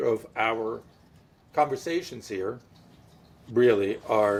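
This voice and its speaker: The man's delivery has lively intonation. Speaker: podcast co-host. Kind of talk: casual chat. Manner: loud.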